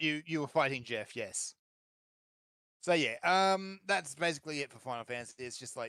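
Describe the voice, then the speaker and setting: With an Australian accent, a bright, sharp tone comes across at a moderate pace in a dry, close sound with no echo. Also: man. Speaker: gaming podcast co-host. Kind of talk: casual chat.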